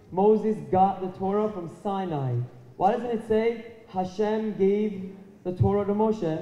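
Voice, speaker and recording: A high-pitched man with fairly even intonation, heard through audible room echo. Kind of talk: extemporaneous speech to an audience. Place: hall. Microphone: handheld.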